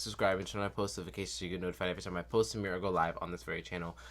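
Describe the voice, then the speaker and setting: An animated man speaks with vocal fry. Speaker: toy review youtuber. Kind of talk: casual video review. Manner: stutters at times.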